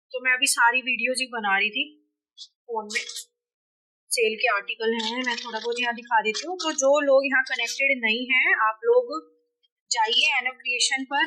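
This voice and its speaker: Fairly slow, high-pitched speech from a woman. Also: ordinary pitch variation. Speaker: family vlogger and clothing seller. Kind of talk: casual vlog with product showcase.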